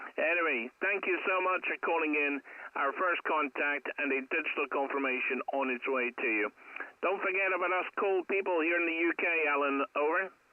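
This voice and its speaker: Amid noticeable background noise, a man with a high pitch speaks at a moderate pace with ordinary pitch variation and very even loudness. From Scotland. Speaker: radio amateur. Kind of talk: casual chat. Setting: in a car. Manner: clear.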